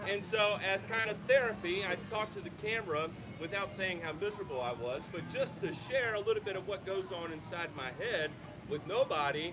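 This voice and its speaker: Loud and fairly quick, a high-pitched man talks with ordinary pitch variation over noticeable background noise. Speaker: lawn care YouTuber. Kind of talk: panel discussion. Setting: outdoors with audience.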